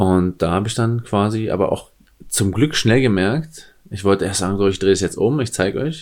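Talking at a moderate pace, a man with an unremarkable speaking voice has a fairly low pitch and ordinary pitch variation. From eastern Germany, near the Polish border. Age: 30s. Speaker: sports coach and former nightclub bouncer. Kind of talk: casual chat.

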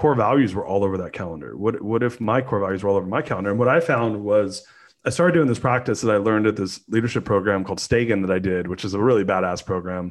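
Against a quiet background, a man with a Californian accent speaks very fast in a fairly low voice with ordinary pitch variation. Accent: Californian American. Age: 40s. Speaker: entrepreneur. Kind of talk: casual interview.

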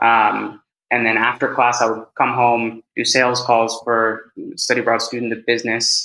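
A man talks with a Californian accent at a medium pitch. His tone is bright and sharp, and his intonation is monotone and flat. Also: moderate pace. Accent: Californian American English. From US, California (San Francisco Bay Area). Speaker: head of sales and public speaker. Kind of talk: casual interview.

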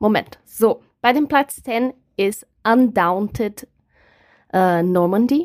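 A woman's fairly high voice at a very slow pace, with lively intonation, long and frequent pauses, and a dry, close sound with no echo. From Brazil. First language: Portuguese (speaking German). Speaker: board game enthusiast, co-host's partner. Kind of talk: casual chat. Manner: halting.

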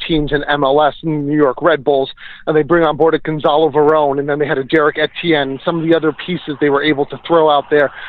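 Talking at a very fast pace, a man with a New Jersey accent speaks at a fairly high pitch. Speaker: soccer journalist. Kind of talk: interview.

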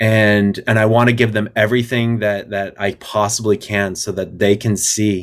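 On a very clean recording with a silent background, a man with an American accent talks at a moderate pace and a fairly low pitch in a normal speaking voice. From US, northern Colorado (Fort Collins). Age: 40s. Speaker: army veteran and coffee company executive. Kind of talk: interview, personal testimony.

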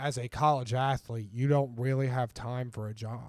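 Speaking with an American accent, a man has an unremarkable speaking voice at medium pitch with fairly even intonation. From southern Ohio (Ironton). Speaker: former college football player. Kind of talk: casual interview.

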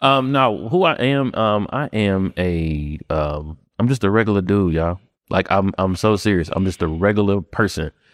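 An unremarkable speaking voice with lively intonation comes through in a dry, close sound with no echo on a very clean recording with a silent background. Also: man, fairly low pitch for a man, moderate pace. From Memphis, Tennessee (US South). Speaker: real estate investor and wholesaler. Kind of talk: casual interview chat. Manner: casual, filler-heavy (um, you know what I'm saying).

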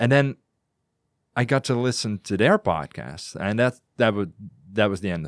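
A man with a Dutch accent at a moderate pace, with long, frequent pauses, on a very clean recording, background silent, sound dry and close with no echo. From Netherlands. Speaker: podcaster. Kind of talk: casual chat. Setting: studio.

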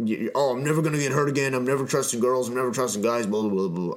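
A man puts on a gruff character voice at medium pitch and a very fast pace. Noticeable background noise runs underneath. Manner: mocking, dismissive.

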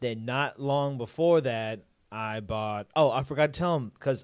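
This man has a normal speaking voice, with ordinary pitch variation at a moderate pace. The recording is very clean, with a silent background. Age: 20s. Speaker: drummer, co-host. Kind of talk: casual chat. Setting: live stream.

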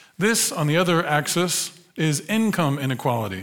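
In an American accent, a man talks with an animated tone and lively intonation. His pitch is fairly high, and the room echo is audible. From United States. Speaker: sociologist. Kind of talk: lecture. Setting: stage with audience.

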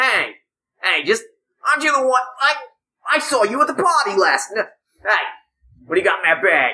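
Putting on a nasal, high-pitched character voice, a woman speaks at a moderate pace with very wide pitch swings and long, frequent pauses. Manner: annoying, pestering.

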